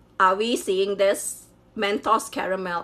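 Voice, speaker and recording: In a Chinese accent, a woman with a medium pitch speaks at a moderate pace with fairly even intonation. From Malaysia, Sabah (Borneo). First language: Hakka Chinese. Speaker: YouTuber. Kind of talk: casual unboxing vlog. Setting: home kitchen.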